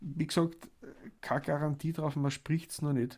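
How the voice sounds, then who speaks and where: In an Austrian accent, a man speaks with a dark, mellow tone. The recording is very clean, the background silent. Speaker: cooking podcast host. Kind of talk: casual chat and recipe explanation.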